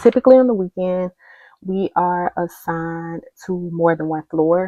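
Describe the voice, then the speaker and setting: A woman speaks quietly at a moderate pace, her pitch fairly low. Her pitch varies in an ordinary way. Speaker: social worker. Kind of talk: casual vlog explanation. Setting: at home. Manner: quiet, speaking low; hesitant, many fillers.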